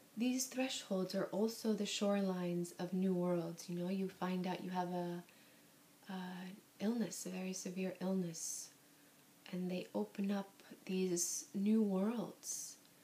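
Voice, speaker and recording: A soft-spoken woman talks at a fairly slow pace and a medium pitch. Her tone is gentle, dark, mellow and somewhat breathy, with fairly even intonation. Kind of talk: soft-spoken ASMR book reading. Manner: soft-spoken, gentle.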